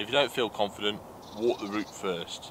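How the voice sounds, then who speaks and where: A man's fairly low voice moves at a moderate pace against noticeable background noise. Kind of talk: casual vlog intro. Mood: calm, friendly. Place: car. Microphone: camera far.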